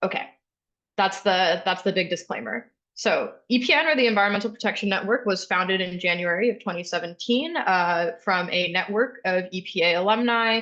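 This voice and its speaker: At a fairly quick pace, a woman with a medium pitch speaks in a bright, sharp tone with ordinary pitch variation. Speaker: environmental nonprofit staffer. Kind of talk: webinar presentation. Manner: fast.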